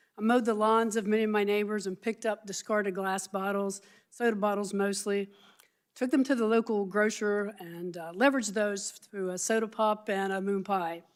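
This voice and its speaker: A woman with a medium-pitched voice speaks at a fairly quick pace with fairly even intonation. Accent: Appalachian. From southern West Virginia. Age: 60s. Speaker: health care advocate. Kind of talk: congressional testimony. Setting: hearing room. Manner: formal.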